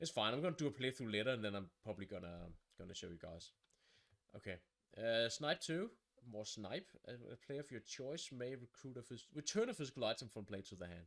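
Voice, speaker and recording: A man talks at a very fast pace with a Danish accent. His intonation is lively. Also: medium pitch for a man. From Denmark. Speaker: board game reviewer. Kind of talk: game overview, thinking aloud. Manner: halting.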